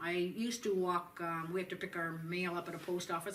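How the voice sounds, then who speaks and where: Someone with a Canadian accent speaks at a very fast pace against noticeable background noise. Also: woman. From southern Ontario, Canada. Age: 60s. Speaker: patient. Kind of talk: testimony. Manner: halting, with many fillers.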